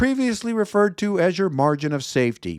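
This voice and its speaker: With a Chicago accent, a man speaks at a moderate pace with very wide pitch swings, in a dry, close recording with no echo and a silent background. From Chicago, US Midwest. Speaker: investment show host. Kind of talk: solo market commentary video. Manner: conversational, some self-corrections.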